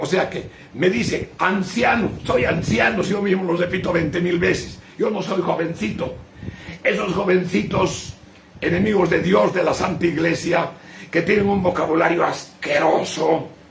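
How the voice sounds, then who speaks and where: A high-pitched man at a fairly slow pace, ordinary pitch variation, audible room echo and noticeable background noise. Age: 80s+. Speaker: bishop. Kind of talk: sermon.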